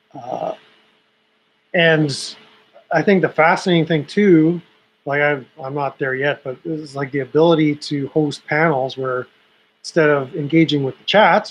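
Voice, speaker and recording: Pausing long and often, a man speaks at a fairly slow pace. His pitch is fairly high, with fairly even intonation. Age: 50s. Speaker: YouTube livestreamer. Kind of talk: casual livestream chat. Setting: home livestream, webcam. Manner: halting, many repeated words. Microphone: old laptop webcam.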